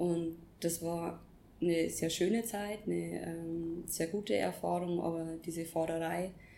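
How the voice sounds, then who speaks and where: Fairly low-pitched female voice, dark and mellow in tone, with fairly even intonation and audible room echo. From Upper Palatinate, Bavaria, Germany. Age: 20s. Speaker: former bank employee, yoga teacher trainee. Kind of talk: casual interview. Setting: sitting together in Bali.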